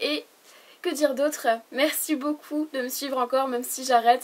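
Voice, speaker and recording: A woman speaks at a high pitch. Her intonation stays fairly even. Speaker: beauty YouTuber. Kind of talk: product review vlog. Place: home room. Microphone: camera far.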